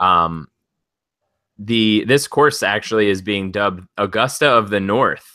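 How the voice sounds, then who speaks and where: In a very clean recording with a silent background, a man with an American accent speaks at a fairly slow pace, his fairly low voice bright and sharp in tone with ordinary pitch variation. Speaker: sports betting podcast co-host. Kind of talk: casual podcast discussion.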